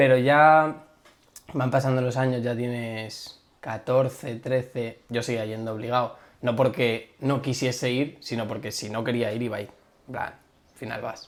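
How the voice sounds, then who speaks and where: Over noticeable background noise, a man speaks at a fairly slow pace. His medium-pitched voice has a monotone, flat intonation. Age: 20s. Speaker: podcast guest. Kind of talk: casual chat.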